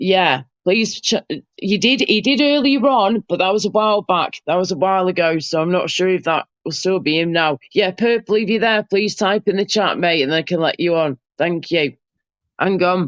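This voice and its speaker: A woman speaks with an English accent at a medium pitch and a moderate pace. Her intonation is lively and her loudness very even. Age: 30s. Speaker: live streamer. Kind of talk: casual chat. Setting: live stream with panel.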